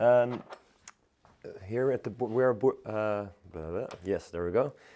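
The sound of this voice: Fairly slow, fairly low speech from a man, dark and mellow in tone, with ordinary pitch variation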